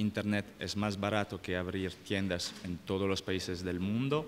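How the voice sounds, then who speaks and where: The speaker is a man with a fairly low pitch. He talks at a fairly slow pace. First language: French (speaking Spanish). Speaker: company manager panelist. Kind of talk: panel discussion. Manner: halting.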